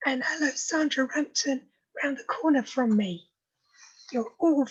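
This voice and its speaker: Shouting loudly, a woman calls out at a high pitch with lively intonation. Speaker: club president. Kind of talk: meeting opening remarks. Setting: video call. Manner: loud, shouting.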